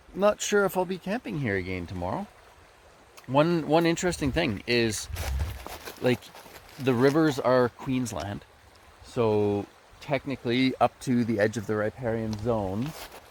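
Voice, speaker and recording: A man's medium-pitched voice at a fairly slow pace, with long, frequent pauses, very wide pitch swings and noticeable background noise. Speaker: gold prospecting vlogger. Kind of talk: casual vlog narration. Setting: outdoors by a river. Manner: mumbling.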